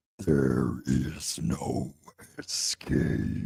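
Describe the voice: In a put-on character voice, a man growls with a menacing tone at a very deep, low pitch, with a dry, close sound with no echo.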